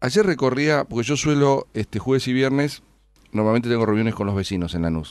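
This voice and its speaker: Using a normal speaking voice, a man of medium pitch talks at a fairly quick pace with lively intonation, the sound dry with no echo and the background quiet. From Argentina. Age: 50s. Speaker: city finance minister and politician; city finance minister, politician. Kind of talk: radio interview. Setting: radio studio. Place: studio.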